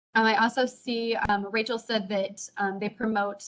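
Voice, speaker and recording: An unremarkable speaking voice at a moderate pace. The intonation stays fairly even. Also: woman. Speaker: teacher. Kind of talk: teacher training webinar.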